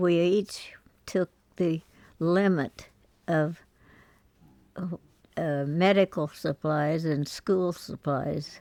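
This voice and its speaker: A woman with an American accent speaks at a very slow pace with long, frequent pauses, her fairly low voice dark and mellow in tone, her intonation fairly even, in a dry, close sound with no echo and a very clean recording with a silent background. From Missouri. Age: 80s+. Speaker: peace activist. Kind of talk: life story interview. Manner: hesitant, reflective.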